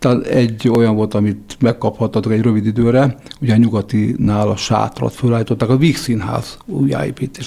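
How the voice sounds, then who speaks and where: There is noticeable background noise behind this man. He speaks at a moderate pace with a medium pitch and ordinary pitch variation. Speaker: radio host. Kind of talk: interview.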